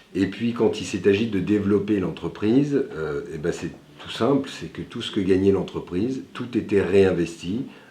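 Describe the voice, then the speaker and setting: With lively intonation, a man speaks at a fairly slow pace amid audible room echo. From France, Lyon area (Villeurbanne). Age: 40s. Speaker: entrepreneur, company founder. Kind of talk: interview portrait. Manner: frequent hesitations (euh).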